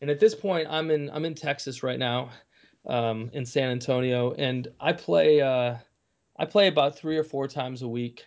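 Delivered at a moderate pace with an American accent, this is an ordinary speaking voice with ordinary pitch variation. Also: man, fairly high pitch for a man. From Kalamazoo, Michigan. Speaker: musician and former lawyer. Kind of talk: casual interview.

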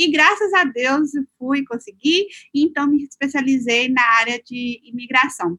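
A woman's raised, projected voice at high pitch, with lively intonation, a fairly slow pace, and a dry, close sound with no echo. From Minas Gerais, Brazil. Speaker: lawyer and city councilor. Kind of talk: interview testimony.

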